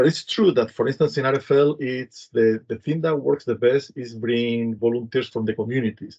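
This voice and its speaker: With a Spanish accent and a dark, mellow tone, a man talks with hardly any pauses and ordinary pitch variation. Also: medium pitch for a man, moderate pace. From Spain, Madrid. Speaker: humanitarian program director. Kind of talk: panel discussion. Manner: halting, many fillers.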